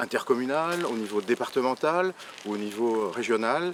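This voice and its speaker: Speaking at a moderate pace, a man has medium pitch with ordinary pitch variation. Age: 60s. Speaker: local election candidate. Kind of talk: campaign presentation. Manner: hesitant, many fillers and repetitions.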